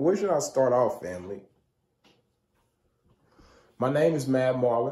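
With a dark, mellow tone, a man speaks at a medium pitch and a fairly slow pace. His intonation is lively.

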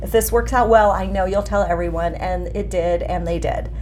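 Noticeable background noise and audible room echo fill the recording. Through them, a woman talks at a fairly quick pace. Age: 50s. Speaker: former sales director, meetup organizer. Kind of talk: casual interview chat.

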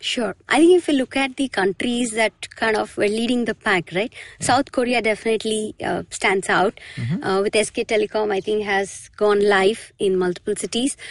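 A woman with an Indian accent speaks at a moderate pace in a fairly high voice with ordinary pitch variation. The sound is dry and close, with no echo. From Mumbai, India. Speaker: tech delivery lead. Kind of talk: interview. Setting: studio.

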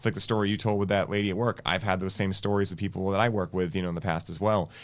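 On a very clean recording with a silent background, a man with an American accent talks at fairly low pitch. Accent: Boston accent noticed by others elsewhere. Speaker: wellness podcast host. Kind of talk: casual interview. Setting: studio.

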